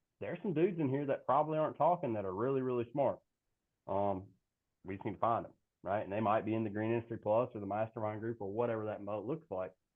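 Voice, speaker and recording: In a Southern US accent, a man talks at a very fast pace with a medium pitch and ordinary pitch variation. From South Carolina. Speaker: fertilizer sales representative. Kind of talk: interview. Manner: animated.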